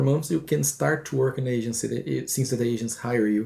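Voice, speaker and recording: Somewhat breathy, a man's voice sits at a medium pitch with a dark, mellow tone. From Brazil. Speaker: advertising creative director. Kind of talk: interview. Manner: halting.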